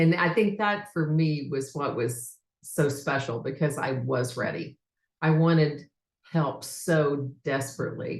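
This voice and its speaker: A woman with a very deep, low pitch speaks fairly slowly and somewhat breathily, with ordinary pitch variation. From United States. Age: 60s. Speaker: leadership development coach. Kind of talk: testimony.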